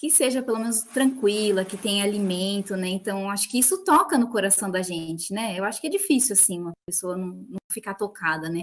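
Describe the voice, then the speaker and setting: With hardly any pauses, a woman talks fairly quickly in a somewhat breathy voice of medium pitch and ordinary pitch variation. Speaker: biologist, field technician. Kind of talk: panel discussion.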